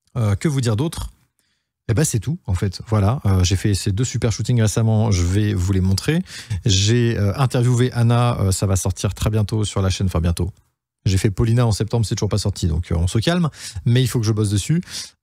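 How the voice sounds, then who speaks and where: A man's fairly low voice with a dark, mellow tone, somewhat breathy, very even in loudness, with ordinary pitch variation. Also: very clean recording, silent background. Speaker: photographer and YouTuber. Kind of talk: casual vlog update. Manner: fast; hesitant, many fillers.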